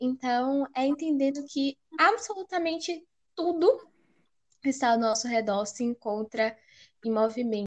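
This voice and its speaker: With lively intonation and a high pitch, a woman speaks with long, frequent pauses in a dry, close sound with no echo. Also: fairly slow pace. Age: 20s. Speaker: podcast co-host, university student. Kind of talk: casual chat.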